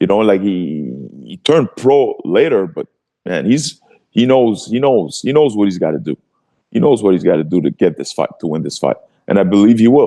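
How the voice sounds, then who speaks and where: In a Quebec accent, a man with a fairly low, dark, mellow voice speaks at a moderate pace with very wide pitch swings. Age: 40s. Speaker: retired MMA fighter and martial arts coach. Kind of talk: casual interview chat. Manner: animated, repetitive and stammering.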